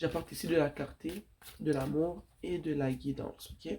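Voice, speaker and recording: This woman has a very deep, low pitch. Her tone is dark and mellow. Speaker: tarot reader. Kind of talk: tarot reading.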